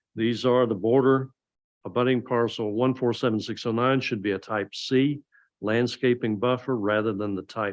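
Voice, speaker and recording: A man with a Southern US accent talks at a medium pitch and moderate pace, his intonation fairly even against a quiet background. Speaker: planning board chair. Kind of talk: public meeting, formal motion. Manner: formal.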